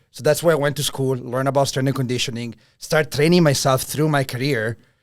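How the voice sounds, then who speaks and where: A man speaks with an Italian accent. The recording is very clean, with a silent background. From Italy. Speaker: strength and conditioning coach. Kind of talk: interview.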